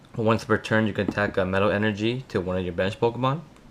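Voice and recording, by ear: A man's fast speech at a fairly low pitch with ordinary pitch variation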